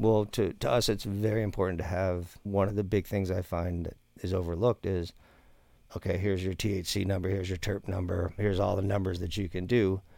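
A man with a very deep, low pitch and a dark, mellow tone talks at a fairly quick pace. His intonation is monotone and flat, on a very clean recording with a silent background. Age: 50s. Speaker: cannabis breeder and grow consultant. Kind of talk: casual interview.

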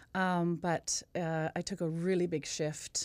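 A woman in a Western Canadian accent speaks at a fairly low pitch with monotone, flat intonation. The recording is very clean, with a silent background. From Canada, Kamloops BC. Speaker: singing teacher and vocal coach. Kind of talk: casual chat.

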